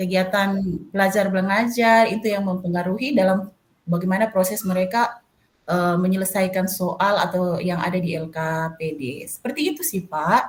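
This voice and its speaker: A woman speaks at a moderate pace, her medium pitch showing ordinary variation. Her voice is somewhat breathy. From Manado, North Sulawesi, Indonesia. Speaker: math teacher. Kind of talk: coaching session. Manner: hesitant, many fillers.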